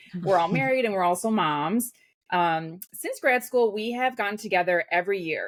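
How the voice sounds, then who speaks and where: In a Midwestern American accent, a woman sounds upbeat with lively intonation, medium pitch and a moderate pace, in a very clean recording with a silent background. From US Midwest. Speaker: podcast host, clinical psychologist. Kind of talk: casual chat.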